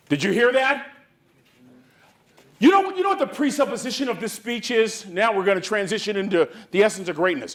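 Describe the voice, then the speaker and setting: Speaking at a fairly quick pace with long, frequent pauses, a man with a high voice keeps an animated tone. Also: lively intonation. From US West Coast, San Francisco Bay Area. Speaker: motivational speaker. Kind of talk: motivational speech. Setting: conference stage with audience. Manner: repetitive, preacher-like cadence.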